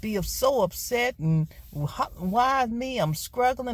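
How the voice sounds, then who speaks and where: In a very clean recording with a silent background, a woman with an American accent uses an ordinary speaking voice, fairly high in pitch, with lively intonation. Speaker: vlogger and gig worker. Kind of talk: casual vlog monologue. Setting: in a car.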